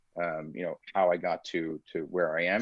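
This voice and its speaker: A man is speaking. He has an Iranian accent. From United States, child of Iranian immigrants. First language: Farsi. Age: 40s. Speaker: security researcher and startup founder. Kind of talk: interview conversation. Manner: articulate.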